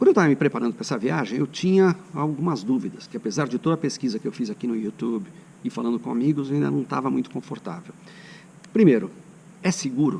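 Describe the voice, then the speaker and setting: The speaker talks at a fairly quick pace with lively intonation. Vocal fry runs through the voice. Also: man. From São Paulo state, Brazil. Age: 60s. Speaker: cycling vlogger. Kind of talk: casual travel vlog talk.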